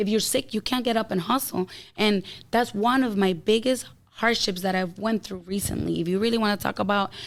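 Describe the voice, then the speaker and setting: A woman with an ordinary speaking voice talks fairly quickly at a medium pitch and with fairly even intonation, on a very clean recording with a silent background. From outside the US, moved there as a child. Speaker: health coach and entrepreneur. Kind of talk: casual podcast interview.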